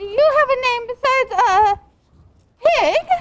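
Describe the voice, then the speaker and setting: In a squeaky, put-on character voice at an extremely high pitch, a woman speaks at a moderate pace with lively intonation. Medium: stage play. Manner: stammering, repeats words three times.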